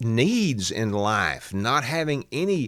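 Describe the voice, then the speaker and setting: With a Southern US accent, a man at medium pitch speaks very slowly, his pitch swinging very widely. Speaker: political commentator. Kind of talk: political podcast commentary. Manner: casual, conversational.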